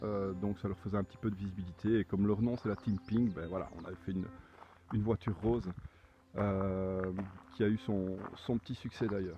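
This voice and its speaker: With monotone, flat intonation, a man speaks at a fairly low pitch and a moderate pace, leaving long, frequent pauses. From Belgium. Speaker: car owner, amateur rally driver. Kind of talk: video presentation of own car. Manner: halting, many repetitions.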